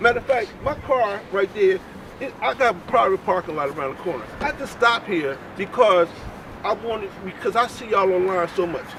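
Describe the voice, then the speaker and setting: Over noticeable background noise, a man with a high voice speaks at a fairly quick pace with lively intonation. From North Philadelphia. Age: 60s. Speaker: registered nurse, passerby. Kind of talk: street conversation.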